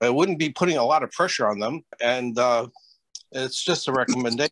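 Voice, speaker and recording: A man is speaking. The sound is dry with no echo, and the background is quiet. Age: 70s. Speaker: veteran ski instructor. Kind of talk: meeting discussion. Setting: video call. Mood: friendly, earnest. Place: home room. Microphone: video call.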